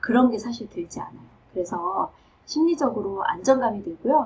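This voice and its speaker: A woman speaks in a normal speaking voice with lively intonation. Her pitch is fairly high. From South Korea. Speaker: professor. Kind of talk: advice talk.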